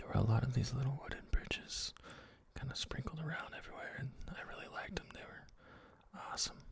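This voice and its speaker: Someone whispers at a very fast pace. Long pauses come often. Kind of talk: ASMR voice over; casual personal vlog narration. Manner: soft-spoken, whispered.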